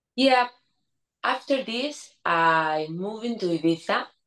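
Speaking at a very slow pace, a woman with a Spanish accent has a fairly low pitch. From Spain. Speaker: DJ and producer. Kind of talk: interview.

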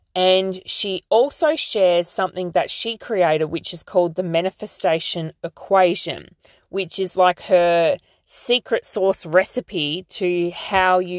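A woman with an Australian accent speaks at a fairly slow pace in a medium pitch, her pitch varying in an ordinary way, with a dry, close sound with no echo against a quiet background. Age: 30s. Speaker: podcast host and life coach. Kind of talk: solo podcast monologue.

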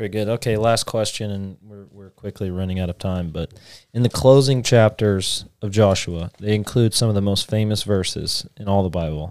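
The recording is very clean with a silent background, and a man speaks in a normal speaking voice at a fairly low pitch. His pace is moderate, his pitch variation ordinary, and his loudness swings widely. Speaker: podcast host. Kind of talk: casual discussion podcast on Bible reading.

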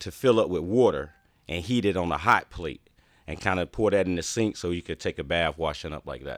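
Lively intonation in a North Carolina accent comes through a dry, close sound with no echo on a very clean recording with a silent background. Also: man. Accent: Southern US (North Carolina). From Eastern North Carolina, US South. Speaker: motivational speaker and entrepreneur. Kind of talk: interview conversation. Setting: studio.

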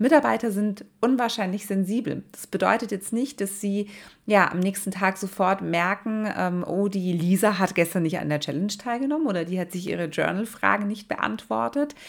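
At a moderate pace and with hardly any pauses, a woman uses an ordinary speaking voice of medium pitch with lively intonation. The recording is very clean, with a silent background. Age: 30s. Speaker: podcast host and nursing leadership coach. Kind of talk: solo podcast monologue. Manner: warm, casual direct address.

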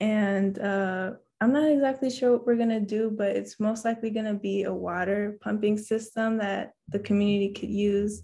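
Soft-spoken and dark, mellow in tone, a woman with an American accent talks at a moderate pace with fairly even intonation and hardly any pauses. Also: medium pitch for a woman. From mixed: Washington DC, Japan, Canada. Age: 20s. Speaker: engineering student. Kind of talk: interview.

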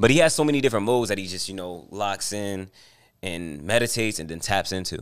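Speaking at a very fast pace in an American accent, a man with a fairly low pitch uses lively intonation and big swings in loudness in a very clean recording with a silent background. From New Jersey. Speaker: rapper. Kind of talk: casual interview. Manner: halting, repeats words.

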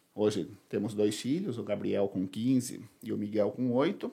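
Very wide pitch swings and vocal fry from a man, recorded very cleanly against a silent background. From Boituva, São Paulo state, Brazil. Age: 30s. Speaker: political candidate. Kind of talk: casual interview.

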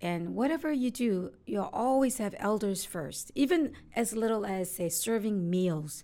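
A woman's dark, mellow voice with a Korean accent, medium in pitch, fairly slow with hardly any pauses and very wide pitch swings. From South Korea (Seoul), moved to Hawaii in high school. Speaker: immigration lawyer. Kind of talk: casual interview.

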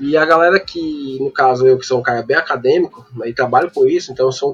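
With music behind him, a man in a fairly high pitch speaks fairly quickly, his pitch varying in an ordinary way. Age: 30s. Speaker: data scientist. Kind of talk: casual chat. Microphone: poor audio with dropouts.

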